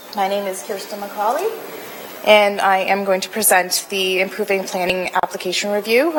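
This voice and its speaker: There is noticeable background noise as a woman speaks at a moderate pace. Her medium pitch shows ordinary pitch variation. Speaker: city planning staff presenter. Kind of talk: formal report presentation. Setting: council committee meeting. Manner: hesitant, many fillers. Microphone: too far from the mic.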